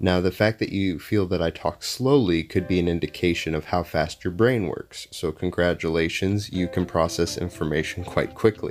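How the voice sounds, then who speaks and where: Music plays behind a man with a very deep, low pitch. He speaks with hardly any pauses. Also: ordinary pitch variation, moderate pace. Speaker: gaming youtuber. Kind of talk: gameplay commentary.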